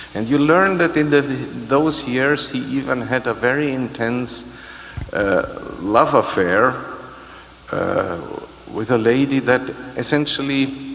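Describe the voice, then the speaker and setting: Over light background noise, a man speaks at medium pitch and a very slow pace, with long, frequent pauses. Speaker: orchestra conductor. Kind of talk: pre-concert interview. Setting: stage with audience. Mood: relaxed, explanatory. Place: hall. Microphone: handheld.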